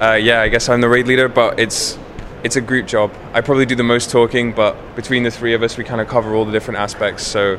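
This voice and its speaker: A man's medium-pitched voice at a very fast pace, monotone and flat, over noticeable background noise. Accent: English. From England. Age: 20s. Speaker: professional gamer, guild raid leader. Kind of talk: interview. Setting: gaming convention.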